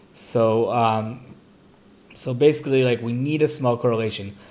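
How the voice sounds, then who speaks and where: A man's dark, mellow voice at a medium pitch. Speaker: finance and machine learning video tutor. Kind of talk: tutorial. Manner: casual, many fillers.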